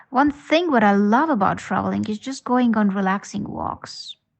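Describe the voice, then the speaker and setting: A woman's fairly high voice in an Estonian accent, at a moderate pace with ordinary pitch variation. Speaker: podcast listener. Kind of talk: voice message.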